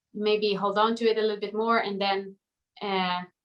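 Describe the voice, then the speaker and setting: A woman's fairly high voice in a Swedish accent, flat and monotone, at a moderate pace. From Sweden. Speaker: pop singer. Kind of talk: interview. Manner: halting.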